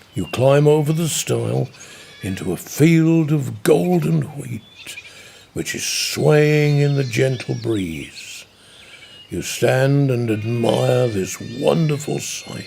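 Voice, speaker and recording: A man's medium-pitched voice at a very slow pace, with very wide pitch swings and music in the background. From Norfolk, England. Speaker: broadcaster. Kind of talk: sleep story. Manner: gentle, soothing, slow.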